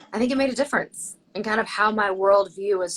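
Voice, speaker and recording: A woman's bright, sharp tone at a fairly quick pace. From Tennessee. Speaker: surgeon. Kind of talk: interview.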